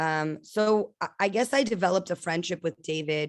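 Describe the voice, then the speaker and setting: With a New York accent, a woman speaks fairly slowly at a fairly low pitch with ordinary pitch variation. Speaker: school administrator and nonprofit co-founder. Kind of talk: interview testimony.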